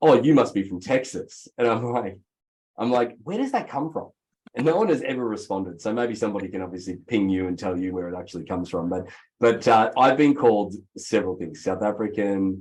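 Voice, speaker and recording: Against a quiet background, a man with an Australian accent speaks at a fairly quick pace in a fairly low pitch. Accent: Australian, noticeable twang. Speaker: real estate executive. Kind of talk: interview.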